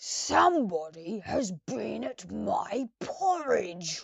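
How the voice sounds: A gruff, put-on character voice at a very slow pace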